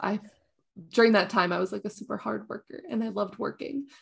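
A woman's fairly quick speech with a Canadian accent and vocal fry. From Canada. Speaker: video game streamer. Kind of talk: casual chat.

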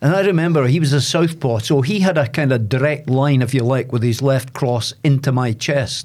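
Barely pausing, a man with a Dundee accent speaks at a fairly high pitch with ordinary pitch variation. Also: moderate pace, very even loudness. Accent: Dundee Scottish. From Scotland, Dundee. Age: 70s. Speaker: former boxer and sports presenter. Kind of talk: casual interview.

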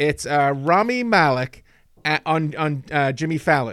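On a very clean recording with a silent background, a man with an American accent speaks at a fairly high pitch, the sound dry and close with no echo. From England. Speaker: podcast host. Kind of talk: casual chat.

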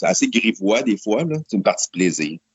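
This is a man with a Quebec accent. His pitch is fairly low. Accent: Québécois French. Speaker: online auction business owner. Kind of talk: interview.

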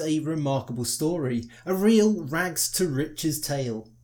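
Fairly high male voice, a normal speaking voice, with lively intonation. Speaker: podcast host, history narrator. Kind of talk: history documentary narration, scripted. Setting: solo recording, podcast. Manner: formal, measured; steady, authoritative storytelling pace.

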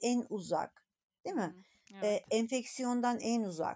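Dry and close with no echo, a woman's dark, mellow tone comes through at a fairly high pitch with lively intonation. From Turkey, rural Anatolia. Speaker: gynecologist. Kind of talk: interview. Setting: podcast recording.

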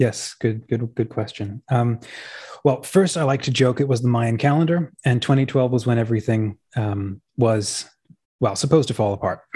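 The speaker is a man at a medium pitch. His voice is somewhat breathy with a dark, mellow tone. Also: ordinary pitch variation, moderate pace. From Australia. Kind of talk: casual interview.

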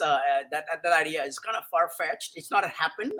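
A man speaks at a fairly quick pace in a raised, projected voice. His pitch is high, with ordinary variation and a bright, sharp tone. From India. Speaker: mycologist. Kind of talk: casual chat. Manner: halting, many repeated words.

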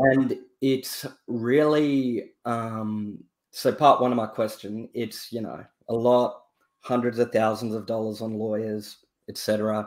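A man with an Australian accent speaks at a medium pitch with fairly even intonation. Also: fairly slow pace. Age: 20s. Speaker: caller, entrepreneur. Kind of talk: casual chat.

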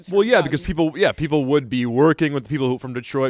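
Noticeable noise sits behind the speaker. He is a man whose pitch varies in an ordinary way. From upstate New York. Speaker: podcast host.

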